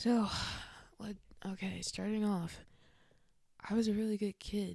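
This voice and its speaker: A woman is whispering, somewhat breathy. Her pace is fairly slow. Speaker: vlogger sharing faith testimony. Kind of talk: testimony. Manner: rambling, casual.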